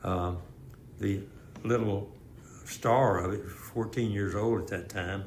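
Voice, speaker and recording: With an American accent, a man of fairly low pitch talks at a very slow pace with fairly even intonation and long, frequent pauses, against noticeable background noise and audible room echo. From Houston area, Texas. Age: 80s+. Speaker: retired police officer. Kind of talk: interview.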